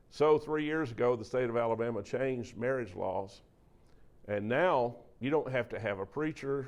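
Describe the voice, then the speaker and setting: A man with a Southern US accent talks at a moderate pace and a medium pitch. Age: 60s. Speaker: preacher and speaker on mental health. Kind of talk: talk to a church audience. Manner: animated.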